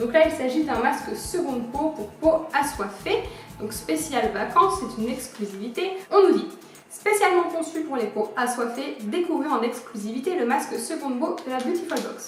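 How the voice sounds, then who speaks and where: A woman with a high pitch makes very wide pitch swings at a moderate pace. Noticeable background noise and audible room echo come through. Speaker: beauty youtuber. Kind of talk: product review unboxing. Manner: animated.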